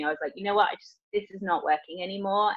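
A woman talks at a very fast pace, with a dry sound free of echo and a quiet background. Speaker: guest. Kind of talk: interview answer. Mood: reflective, self-deprecating, laughing. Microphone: video call.

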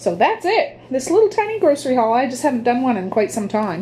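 Over light background noise, a woman talks with a high pitch and lively intonation. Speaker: vlogger. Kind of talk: casual haul vlog. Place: kitchen. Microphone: phone near.

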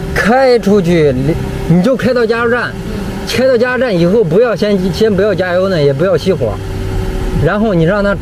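Noticeable background noise surrounds speech at a moderate pace with a dry sound with no echo. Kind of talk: casual instructions to a customer. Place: street. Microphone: phone near.

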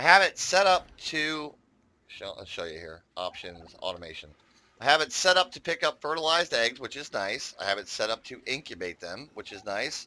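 With an American accent and a bright, sharp tone, the speaker moves at a moderate pace with vocal fry, very wide pitch swings and big swings in loudness, in a very clean recording with a silent background. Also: man, fairly high pitch for a man. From United States. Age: 50s. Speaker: gaming YouTuber. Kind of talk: gameplay commentary. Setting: home recording. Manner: casual, rambling with many fillers.

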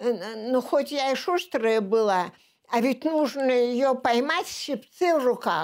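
A woman with a high pitch speaks at a very slow pace with lively intonation. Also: very even loudness, quiet background. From Leningrad, Russia; Russia. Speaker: war veteran. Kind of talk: oral history interview. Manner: halting. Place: home room.

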